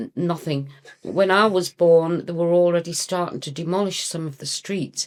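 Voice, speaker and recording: A woman with a fairly low pitch and a slight northeast English accent. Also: ordinary pitch variation, moderate pace. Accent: slight northeast English (Geordie-like). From northern England, County Durham. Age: 60s. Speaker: punk singer. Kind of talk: casual chat.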